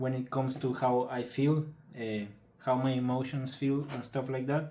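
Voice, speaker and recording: A man with a Spanish accent speaks at a fairly slow pace. His medium-pitched voice stays monotone and flat. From Mexico. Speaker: patient telling his illness story. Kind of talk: personal testimony. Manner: halting, many fillers and repetitions.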